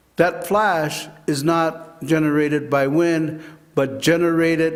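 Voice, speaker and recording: Audible room echo surrounds a man with an American accent who speaks at a very slow pace and a fairly high pitch, with fairly even intonation. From Arizona (Kingman). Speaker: public commenter at hearing. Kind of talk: public testimony. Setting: public hearing.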